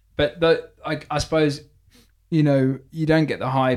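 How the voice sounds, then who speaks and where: A man with a British accent at a moderate pace. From UK. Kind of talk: casual banter. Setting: in the room studio.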